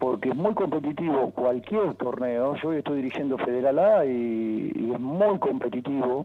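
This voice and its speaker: A man with a plain, everyday voice speaks at a moderate pace and a fairly high pitch, his intonation lively. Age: 60s. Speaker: football coach and former player. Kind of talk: interview.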